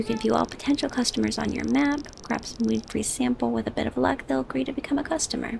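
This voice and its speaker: Against noticeable background noise, a soft-spoken woman talks at a very fast pace with very even loudness. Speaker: gaming sleep content creator. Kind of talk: sleep-aid gameplay commentary.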